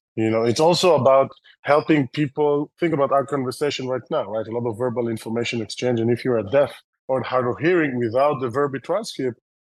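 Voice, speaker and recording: A man with an Israeli accent talks at a fairly quick pace, his medium pitch showing ordinary variation. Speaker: tech company founder and CEO. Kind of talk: interview. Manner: fast, filler-heavy.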